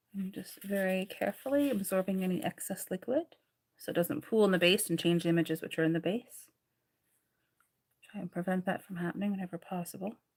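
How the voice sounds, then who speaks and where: A woman talks at a very fast pace. Her voice is somewhat breathy and medium in pitch. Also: ordinary pitch variation. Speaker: psychic medium and tea leaf reader. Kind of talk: live stream reading. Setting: livestream with laptop and ring light.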